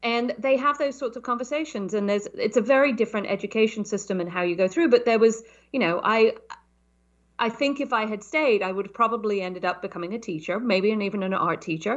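Talking at a very fast pace with ordinary pitch variation, a woman has a fairly high voice and a southern British accent. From southern England. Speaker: startup consultant. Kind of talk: interview conversation.

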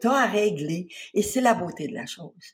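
A woman with a medium pitch and a somewhat breathy voice swings her pitch very widely. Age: 70s. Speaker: spa founder and author. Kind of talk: interview.

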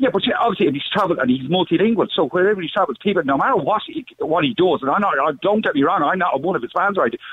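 A man with an Irish accent, high-pitched, very fast and lively, with hardly any pauses. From Netherlands. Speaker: caller. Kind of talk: phone-in call. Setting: phone call.

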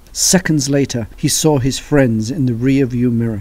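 Someone is reading aloud in a natural voice.

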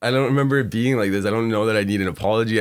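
A man mumbles with ordinary pitch variation. The recording is very clean, with a silent background. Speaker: guest, host's brother. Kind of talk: casual interview, storytelling. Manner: mumbly, unenunciated.

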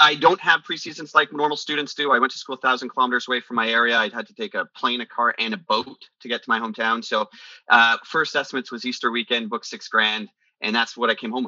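Speaking with a western Canadian accent, a man keeps to a medium pitch with ordinary pitch variation. His pace is very fast. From western Canada (British Columbia). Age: 40s. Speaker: business executive. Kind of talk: interview.

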